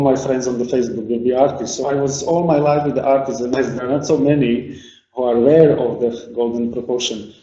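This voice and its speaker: Noticeable background noise sits behind a man with a Slovak accent. He talks at a very fast pace with fairly even intonation. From Slovakia. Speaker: artist and sculptor. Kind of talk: lecture. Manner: halting.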